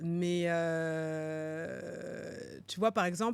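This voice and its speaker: This woman's delivery is very slow. The background is silent on a very clean recording. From France, Paris region. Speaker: finance executive and entrepreneur. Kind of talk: podcast interview. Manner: hesitant, many fillers.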